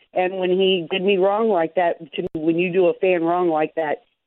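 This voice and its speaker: A woman talks in a normal speaking voice with an American accent at a moderate pace. Her pitch is fairly low, with ordinary pitch variation. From Chicago area. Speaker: sports fan caller. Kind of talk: call-in radio chat.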